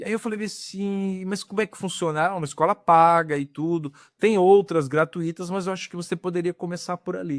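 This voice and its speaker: A man speaks fairly quickly at a high pitch with fairly even intonation. The recording is very clean, dry and close, with a silent background and no echo. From Rio de Janeiro, Brazil. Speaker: actor and film director. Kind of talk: podcast interview. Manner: casual, conversational.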